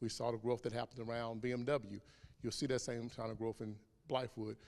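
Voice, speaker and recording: A man races along at a very fast pace. His intonation is monotone and flat. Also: medium pitch for a man. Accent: Southern US. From South Carolina, US South. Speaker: HR director. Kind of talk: public Q&A.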